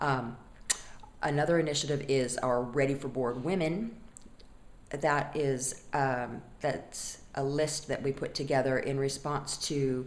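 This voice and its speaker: Fairly slow pace and fairly even intonation, with audible room echo. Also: woman, very deep, low pitch for a woman. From US West Coast. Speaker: non-profit board member. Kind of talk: testimonial. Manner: conversational, some fillers.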